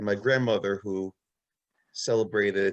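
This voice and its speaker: Recorded with a dry, close sound and no echo, a man speaks at a moderate pace in a fairly low pitch, with monotone, flat intonation. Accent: Brooklyn. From US, Brooklyn New York. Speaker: rabbi. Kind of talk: anecdote in online talk.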